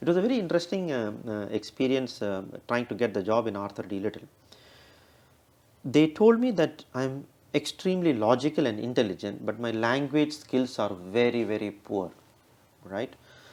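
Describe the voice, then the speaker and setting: The speaker has a strong Indian accent. Long pauses come often. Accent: heavy Indian. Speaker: business executive. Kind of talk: interview. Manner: fast; halting.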